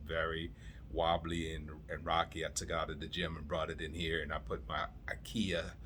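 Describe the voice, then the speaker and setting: A bright, sharp tone with vocal fry. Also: man. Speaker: home theater hobbyist vlogger. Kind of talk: casual vlog monologue.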